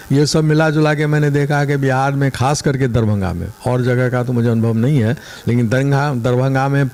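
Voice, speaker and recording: A man at a medium pitch and moderate pace, ordinary pitch variation, noticeable background noise. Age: 70s. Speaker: retired land owner, complainant. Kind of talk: news interview.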